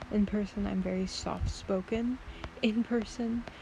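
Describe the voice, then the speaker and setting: Noticeable background noise is present. Over it, a woman talks very slowly. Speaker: art content creator. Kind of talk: casual drawing vlog. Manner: soft-spoken; hesitant, many fillers.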